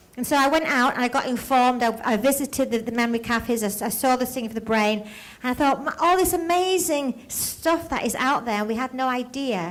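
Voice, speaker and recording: A woman's high voice at a very fast pace with ordinary pitch variation, plus noticeable background noise. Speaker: playwright. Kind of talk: Q&A answer to audience. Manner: halting, repeats words.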